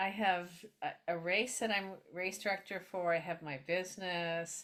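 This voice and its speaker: At a fairly slow pace, a woman with a normal speaking voice talks at a medium pitch with fairly even intonation. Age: 60s. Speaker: health columnist interviewer. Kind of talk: interview. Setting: video call.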